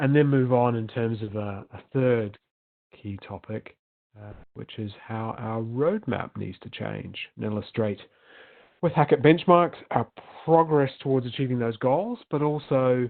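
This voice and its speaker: In a New Zealand accent, a man speaks with big swings in loudness. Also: medium pitch for a man, ordinary pitch variation, fairly slow pace. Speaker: management consultant. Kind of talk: webinar presentation. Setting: virtual summit recording. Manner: hesitant with frequent fillers.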